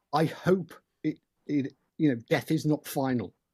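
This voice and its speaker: In a very clean recording with a silent background, a man with a British accent speaks at a fairly high pitch. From UK. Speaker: paranormal investigator and author. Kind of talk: podcast interview.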